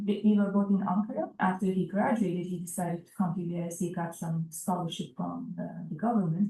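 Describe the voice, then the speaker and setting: Noticeable background noise sits under this recording. A woman with a Turkish accent speaks at a moderate pace. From eastern Turkey (Erzurum). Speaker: immigrant interviewee, physician. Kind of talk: oral history interview.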